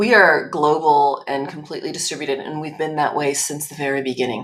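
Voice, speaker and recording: Against noticeable background noise, a woman with a North American accent talks at a fairly quick pace in a very deep, low voice. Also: ordinary pitch variation. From Spain and United States. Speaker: tech company executive. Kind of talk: interview.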